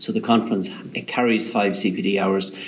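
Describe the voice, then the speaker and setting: Noticeable background noise sits behind a man with an Irish accent whose intonation stays fairly even. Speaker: industry association chief executive. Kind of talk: interview. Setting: on location, echoey room.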